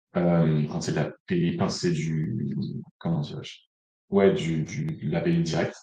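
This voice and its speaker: Room echo can be heard around a man. He keeps a moderate pace. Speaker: analytics consultant, conference speaker. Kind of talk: conference talk. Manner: hesitant, many fillers.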